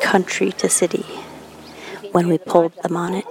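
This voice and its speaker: A woman talks in a medium pitch while noticeable background noise carries on. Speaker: podcast co-host.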